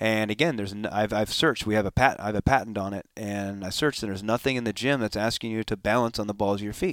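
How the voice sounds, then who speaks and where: With a Californian accent, a man talks at a very fast pace with hardly any pauses, his fairly low pitch showing ordinary variation, in a dry, close sound with no echo. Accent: Californian American English. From Southern California (Escondido). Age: 40s. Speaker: former pro motocross racer and riding coach. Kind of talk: interview, casual conversation. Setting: recorded at a conference venue.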